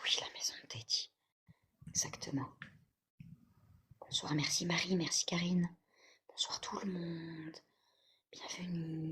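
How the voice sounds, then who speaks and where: The pace is very slow. Long pauses come frequently. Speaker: livestream host reading chat. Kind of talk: live stream chat with viewers. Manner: whispering at times.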